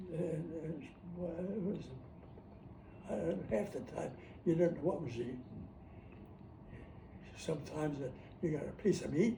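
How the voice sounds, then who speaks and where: With an American accent, a man speaks in a fairly high pitch and a dark, mellow tone, his voice showing vocal fry and broken by long, frequent pauses. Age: 80s+. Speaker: war veteran. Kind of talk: interview answer.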